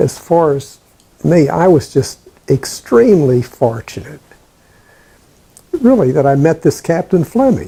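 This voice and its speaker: Speaking fairly slowly with long, frequent pauses, a man with an American accent has a dark, mellow tone, a fairly high pitch, lively intonation, a somewhat breathy quality and very even loudness. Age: 80s+. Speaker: veteran. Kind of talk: oral history interview. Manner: halting.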